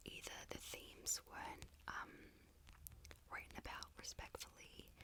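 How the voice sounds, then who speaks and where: Whispering at a fairly slow pace. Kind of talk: ASMR whisper ramble about favourite books. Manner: whispered, soft-spoken, rambling.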